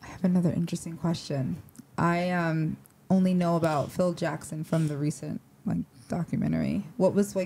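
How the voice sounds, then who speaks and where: Over light background noise, a woman with an American accent talks at a fairly quick pace, her fairly low, dark, mellow voice somewhat breathy and fairly even in intonation. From upstate New York. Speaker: podcast host. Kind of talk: casual interview. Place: studio. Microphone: handheld.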